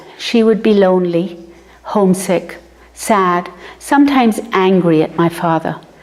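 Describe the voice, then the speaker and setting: Over noticeable background noise, a woman at a medium pitch speaks fairly slowly with ordinary pitch variation. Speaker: memoir narrator. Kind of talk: reading aloud of personal memoir.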